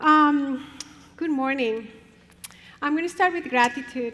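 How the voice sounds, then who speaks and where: Taking a fairly slow pace, a woman talks with a Spanish accent. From Colombia. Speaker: professor and family therapist. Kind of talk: conference talk.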